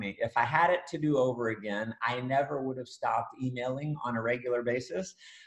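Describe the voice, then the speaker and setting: Here a man talks in a normal speaking voice at a medium pitch. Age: 40s. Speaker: author and network marketing trainer. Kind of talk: casual interview chat.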